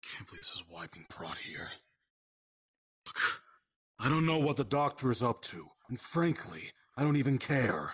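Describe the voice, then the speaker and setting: A man's raspy, put-on character voice, fairly high in pitch, at a moderate pace with long, frequent pauses. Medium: game stream. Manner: dry, sarcastic, dismissive; weary and resentful.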